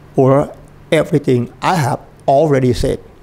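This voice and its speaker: Speaking with a Thai accent at a fairly slow pace, a man has a fairly high pitch. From Thailand. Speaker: Buddhist dharma teacher. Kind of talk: dharma talk. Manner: halting.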